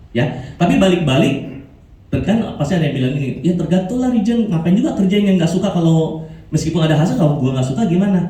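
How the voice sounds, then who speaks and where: Speaking at a very fast pace with very even loudness, a man uses a high pitch, lively intonation and an animated tone in a room with audible echo. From Indonesia, Makassar. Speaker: motivational speaker, insurance agent. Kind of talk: motivational talk.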